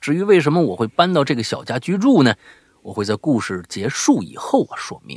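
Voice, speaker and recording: The sound is dry and close, without echo. A man talks at a moderate pace, his pitch swinging very widely. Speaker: podcast host. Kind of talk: horror story telling and casual chat. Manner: animated; repeats words often.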